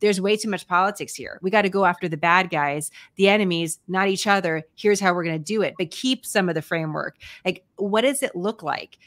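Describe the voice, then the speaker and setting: With ordinary pitch variation, a woman talks at a fairly quick pace over a quiet background. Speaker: podcast host. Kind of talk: interview question. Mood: earnest, concerned. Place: home room.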